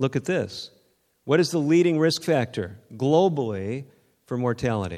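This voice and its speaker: An American-accented man at medium pitch, dark and mellow in tone, with very wide pitch swings and a moderate pace. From Northern California. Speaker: physician lecturer. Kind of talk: lecture.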